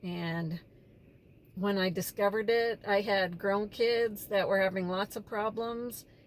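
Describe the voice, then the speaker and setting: A woman speaks at a fairly slow pace and medium pitch. She has a plain, everyday voice. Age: 60s. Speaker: vlogger, former social worker. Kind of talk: casual vlog monologue. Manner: conversational, with fillers.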